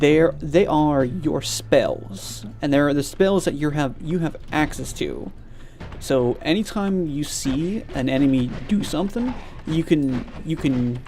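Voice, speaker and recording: Someone with an American accent speaks very slowly over noticeable background noise. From US South. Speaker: vtuber streamer. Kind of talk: casual gameplay stream chat. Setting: live stream. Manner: animated.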